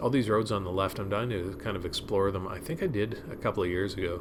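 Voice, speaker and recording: A man talks at a fairly quick pace with a fairly low pitch. Room echo is audible. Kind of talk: ride-along commentary. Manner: monotone; halting.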